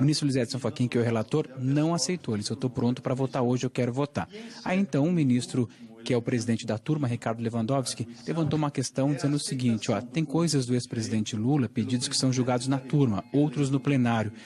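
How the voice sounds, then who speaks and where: A quiet man speaks at a very fast pace in a medium pitch, his voice somewhat breathy with a dark, mellow tone, very even loudness and ordinary pitch variation. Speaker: TV news reporter. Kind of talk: live news report. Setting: inside court building during a trial. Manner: speaking quietly.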